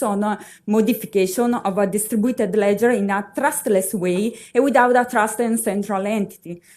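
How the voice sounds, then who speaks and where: A woman speaks in an Italian accent at a moderate pace. Her pitch is fairly high, and her intonation stays fairly even. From Italy. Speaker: university researcher. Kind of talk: conference presentation. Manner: halting, many fillers.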